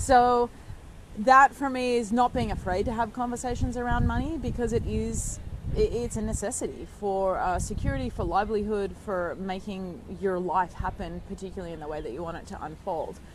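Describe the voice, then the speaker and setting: A woman speaks at a medium pitch and a fairly quick pace, with ordinary pitch variation. Her loudness swings widely, and the room echo is audible. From Australia. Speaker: former pro snowboarder and entrepreneur. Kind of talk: interview. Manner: conversational with frequent fillers.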